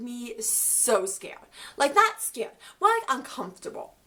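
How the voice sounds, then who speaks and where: Raising and projecting her high-pitched voice, a woman speaks at a fairly slow pace with very wide pitch swings over noticeable background noise. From Ukraine. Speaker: vlogger. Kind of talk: storytime vlog. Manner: casual, filler-heavy.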